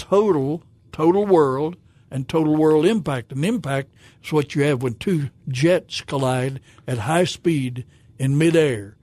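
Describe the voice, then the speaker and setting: In a Southern US accent, a man talks at a fairly slow pace with a fairly high pitch. The tone is dark and mellow, and the sound is dry and close with no echo. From Arkansas, Fayetteville. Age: 70s. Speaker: pastor. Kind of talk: testimony. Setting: studio. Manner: halting.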